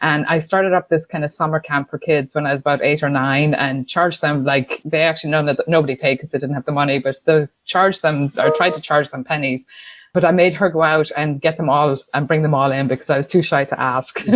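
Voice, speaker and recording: A woman with an Irish accent and a very deep, low pitch speaks at a fairly quick pace with fairly even intonation as music plays in the background. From Ireland, Tuam, County Galway. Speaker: business owner. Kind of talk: interview.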